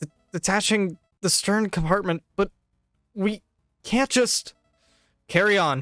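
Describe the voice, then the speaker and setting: A shaky, put-on character voice at a middle pitch moves at a fairly slow pace, broken by long, frequent pauses. Music plays in the background. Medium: read story. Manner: earnest, slightly trembling.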